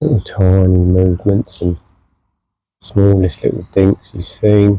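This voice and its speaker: A man talks quietly at a fairly slow pace, his voice somewhat breathy and fairly low in pitch. The sound is dry and close with no echo, and his intonation stays fairly even. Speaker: angler. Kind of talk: live commentary. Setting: outdoors.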